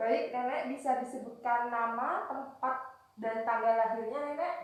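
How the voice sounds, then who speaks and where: Audible room echo surrounds a woman's high voice, which moves at a fairly slow pace with fairly even intonation. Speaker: nursing student. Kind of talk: scripted introduction; role-played nursing assessment interview.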